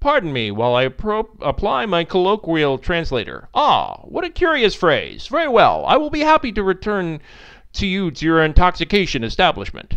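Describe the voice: A man puts on a character voice, pitched high for a man, with a clear, smooth and fairly bright tone, very wide pitch swings and a moderate pace.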